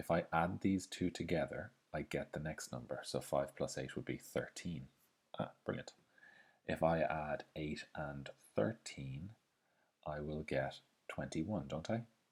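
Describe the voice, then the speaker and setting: With vocal fry and a very deep, low pitch, a man speaks at a fairly slow pace with ordinary pitch variation and long, frequent pauses. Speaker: maths teacher. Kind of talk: tutorial.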